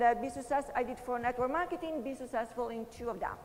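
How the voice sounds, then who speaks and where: A woman with a high voice speaks at a fairly quick pace with ordinary pitch variation over noticeable background noise. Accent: Italian. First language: Italian. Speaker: motivational speaker, network marketer. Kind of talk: motivational talk.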